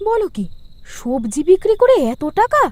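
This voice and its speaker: This woman uses a cartoonish character voice, extremely high in pitch and swinging very widely up and down. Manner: sharp, scolding.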